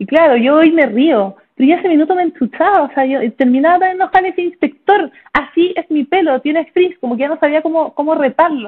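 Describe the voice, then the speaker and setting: With a Chilean accent, a woman speaks at an extremely high pitch, her tone animated and her intonation lively. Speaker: neurologist. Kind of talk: interview. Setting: video call. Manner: fast.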